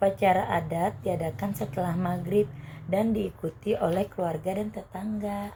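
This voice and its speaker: A woman speaks at a moderate pace in a normal speaking voice, her medium pitch showing ordinary variation. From Banyuwangi, East Java. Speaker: university student interviewee. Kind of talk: scripted school interview. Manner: formal.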